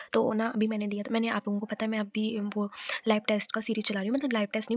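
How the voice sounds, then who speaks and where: Against noticeable background noise, a woman talks at a fairly high pitch with monotone, flat intonation, in a dry, close sound with no echo. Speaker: vlogger and bank exam aspirant. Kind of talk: casual vlog. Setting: self-recorded on camera. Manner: loud; halting.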